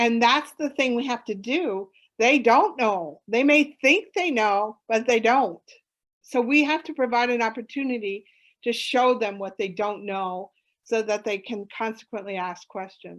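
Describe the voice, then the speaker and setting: The speaker has a normal speaking voice with ordinary pitch variation and a fairly slow pace. The background is quiet. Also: woman, fairly high pitch for a woman. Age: 60s. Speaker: conservation educator and summit presenter. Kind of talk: Q&A session at online conference.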